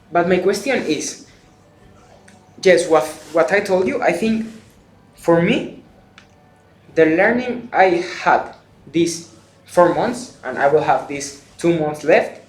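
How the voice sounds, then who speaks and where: A man's high-pitched voice with ordinary pitch variation at a very slow pace, with long, frequent pauses and audible room echo. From Spain. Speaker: exchange student, video creator. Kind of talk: interview.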